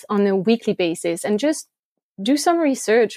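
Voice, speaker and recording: Using lively intonation and a fairly high pitch, a woman with a French accent speaks fairly slowly, with a dry, close sound and no echo. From France. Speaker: blogger. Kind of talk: casual interview.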